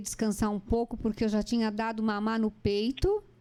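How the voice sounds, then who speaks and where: A woman with a fairly high pitch at a moderate pace, amid noticeable background noise. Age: 60s. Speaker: interviewer. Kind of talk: interview conversation. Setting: online live stream.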